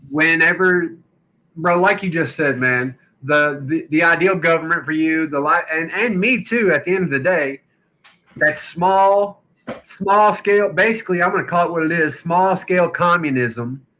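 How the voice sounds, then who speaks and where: With a strong Southern accent, a man talks at a moderate pace in a high pitch with ordinary pitch variation. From Kentucky and Louisiana. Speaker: podcast host. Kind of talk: casual chat.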